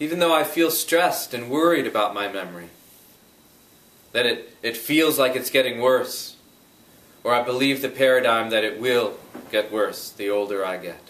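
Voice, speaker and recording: Against noticeable background noise, a man with a calm tone and lively intonation speaks at a moderate pace and medium pitch, taking long, frequent pauses. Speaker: EFT tapping practitioner. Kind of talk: guided EFT tapping session. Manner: calm, guiding, instructional.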